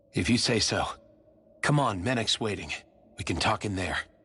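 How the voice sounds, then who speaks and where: A man adopts a put-on character voice of medium pitch, talking at a moderate pace. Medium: video game.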